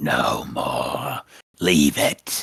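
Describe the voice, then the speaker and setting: A man's put-on character voice, gravelly and raspy. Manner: commanding, curt.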